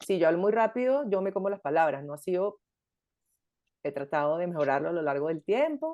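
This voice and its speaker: Lively intonation from a woman of medium pitch with a dark, mellow tone. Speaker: podcast host. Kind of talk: casual chat. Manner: fast.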